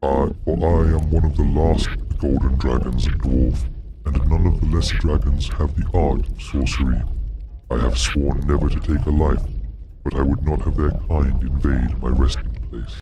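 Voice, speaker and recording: Faint music plays in the background behind a put-on character voice delivered at a moderate pace. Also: man, very deep, low pitch for a man. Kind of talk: archaic high fantasy speech. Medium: read story. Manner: slow, formal, archaic.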